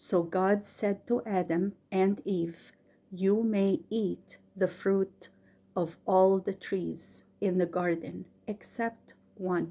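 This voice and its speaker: Very slow and fairly even in intonation, a woman with an Egyptian accent speaks at a medium pitch in a dark, mellow tone. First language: Arabic. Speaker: bedtime story reader. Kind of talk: casual introduction; reading aloud. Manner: careful, slightly halting reading.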